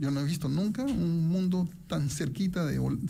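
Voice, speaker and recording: There is audible room echo as a man talks at a moderate pace. His voice is fairly high, with a dark, mellow tone. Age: 60s. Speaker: economics professor and investment commentator. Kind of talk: radio interview.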